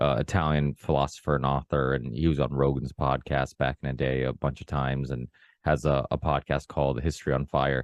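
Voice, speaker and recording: Vocal fry from a man at a fairly quick pace, in a dry, close sound with no echo and a quiet background. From Portugal, raised in the US. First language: Portuguese. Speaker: podcast host. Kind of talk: casual conversation. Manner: hesitant, many fillers and restarts.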